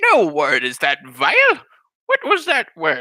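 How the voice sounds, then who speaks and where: This is a man doing a put-on character voice. His delivery is fairly slow. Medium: solo performance. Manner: scolding, old-fashioned.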